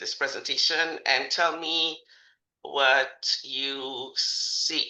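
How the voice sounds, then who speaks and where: There is a slight Caribbean accent. The speech has long, frequent pauses. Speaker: leadership and agile consultant. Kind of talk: webinar presentation. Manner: animated, laughing.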